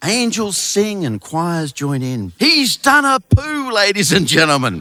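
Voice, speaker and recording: With an Australian accent, a man speaks at a fairly slow pace in a bright, sharp tone, his pitch swinging very widely, in a dry, close sound with no echo. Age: 60s. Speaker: author and storyteller. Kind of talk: live storytelling to an audience. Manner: comic, wry delivery.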